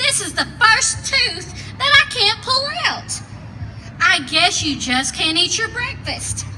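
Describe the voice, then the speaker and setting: Through loud background noise, a woman does a put-on character voice at an extremely high pitch and a fairly slow pace. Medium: read story.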